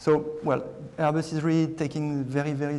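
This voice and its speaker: A man speaks with a French accent at a moderate pace. Noticeable background noise runs underneath. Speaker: aircraft maker security director. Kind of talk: panel presentation. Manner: halting, many fillers.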